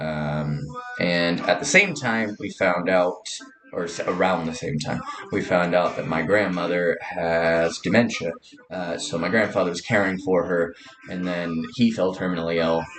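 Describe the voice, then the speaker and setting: A man with a Californian accent speaks at a moderate pace with a very deep, low pitch. His pitch varies in an ordinary way, and there is noticeable background noise. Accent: Californian American. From Southern California. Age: 30s. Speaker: vlogger. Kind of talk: casual personal monologue. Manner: halting, many fillers.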